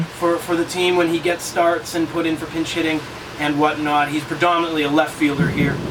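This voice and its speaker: A man with a Massachusetts accent speaks at a fairly quick pace in a fairly high pitch. Noticeable background noise is present. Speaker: play-by-play radio announcer. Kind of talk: interview answer. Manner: energetic, exuberant.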